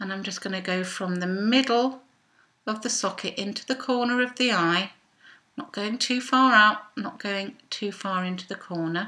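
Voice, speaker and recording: A woman's fairly high, bright, sharp voice at a fairly slow pace. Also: quiet background. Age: 50s. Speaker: belly dancer; makeup vlogger. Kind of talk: makeup tutorial talk to camera. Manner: casual, chatty. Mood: relaxed, self-deprecating humour. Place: home room. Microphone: webcam.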